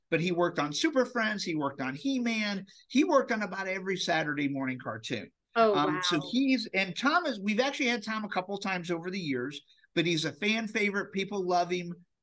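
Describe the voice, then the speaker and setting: With an enthusiastic tone and lively intonation, a man speaks in a high voice. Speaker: comic con organizer, podcast guest. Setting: podcast interview. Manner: fast talker.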